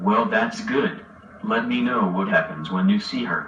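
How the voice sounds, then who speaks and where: A man talks in a cartoonish character voice at a medium pitch. His pace is moderate. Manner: affable, uses old sport.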